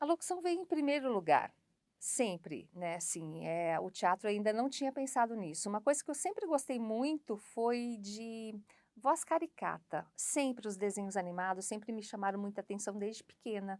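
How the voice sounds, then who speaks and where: Very wide pitch swings in a woman's fairly high voice. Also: moderate pace. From São Paulo, Brazil. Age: 50s. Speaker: voice-over announcer and actress. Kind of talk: interview testimony. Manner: conversational, with fillers.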